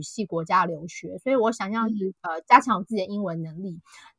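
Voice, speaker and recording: A plain, everyday voice with lively intonation at a fairly quick pace. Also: woman. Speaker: author. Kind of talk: interview. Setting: online call.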